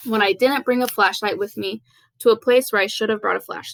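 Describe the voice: Fairly even intonation in plain reading aloud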